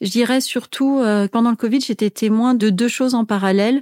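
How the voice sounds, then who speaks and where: A woman speaks at a moderate pace with a fairly high pitch, a dark, mellow tone and fairly even intonation. The recording is very clean, dry and close, with a silent background and no echo. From Tunisia. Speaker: business executive and author. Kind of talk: interview.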